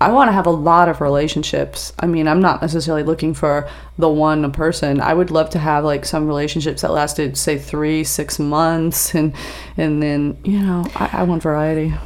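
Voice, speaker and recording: Over noticeable background noise, a woman with a very deep, low voice speaks at a moderate pace with fairly even intonation. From US East Coast. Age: 50s. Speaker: adult film performer and comedian. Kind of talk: casual chat. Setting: studio.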